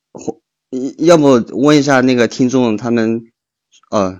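The man's pitch is medium and his intonation lively. He talks at a fairly slow pace. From Chengdu, China. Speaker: listener on call. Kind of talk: casual chat. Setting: voice call on live stream.

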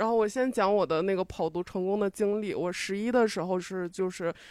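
A woman's ordinary speaking voice, medium in pitch, at a fairly quick pace with fairly even intonation, against a quiet background. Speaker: audience member. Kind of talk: casual chat.

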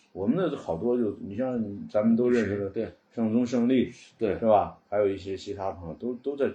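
Fairly low, dark, mellow and somewhat breathy male voice at a fairly quick pace, with ordinary pitch variation and big swings in loudness. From northern China, Cangzhou area of Hebei. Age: 40s. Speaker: antique furniture collector. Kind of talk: casual interview chat.

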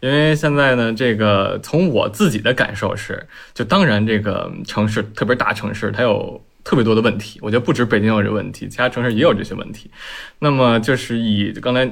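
Speaking fairly quickly, a man uses a plain, everyday voice at medium pitch with ordinary pitch variation. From Beijing. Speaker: urban renewal project founder. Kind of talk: casual panel discussion.

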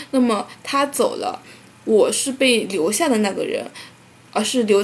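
A woman with a southern Chinese accent and a fairly high pitch talks at a moderate pace with ordinary pitch variation, against noticeable background noise. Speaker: podcast co-host. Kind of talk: casual chat.

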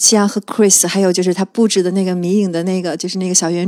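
A woman talks at a very fast pace. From Qingdao, China. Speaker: film enthusiast guest. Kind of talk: casual chat. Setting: studio.

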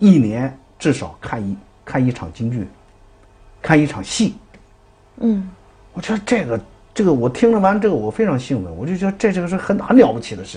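Talking at a fairly quick pace, the speaker takes long, frequent pauses, with very wide pitch swings and big shifts in loudness. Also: man, fairly high pitch for a man. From Dalian, northeast China. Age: 50s. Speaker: Peking opera performer and theatre director. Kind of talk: interview. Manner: hesitant, many fillers.

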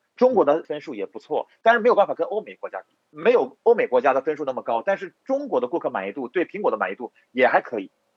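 A man rattles along at a very fast pace with hardly any pauses. His loudness swings widely. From Inner Mongolia, Hulunbuir. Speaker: entrepreneur, electronics company owner. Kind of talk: interview.

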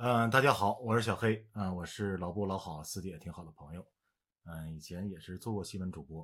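A man speaks at a fairly quick pace in a very deep, low pitch, with big swings in loudness. The recording is very clean, with a silent background. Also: ordinary pitch variation. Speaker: voice actor, former news anchor. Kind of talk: casual chat. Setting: drinking chat in studio.

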